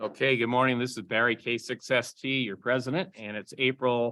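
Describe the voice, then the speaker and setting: A man speaks at a moderate pace in a medium pitch, with fairly even intonation. He has a plain, everyday voice. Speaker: amateur radio club president. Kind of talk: club meeting business report. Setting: in-person meeting room, also streamed on Zoom.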